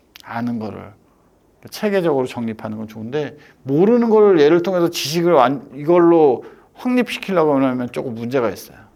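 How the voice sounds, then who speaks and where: A man at a moderate pace, his fairly high pitch swinging very widely. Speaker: lecturer on spine fractures. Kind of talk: lecture. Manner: casual, animated.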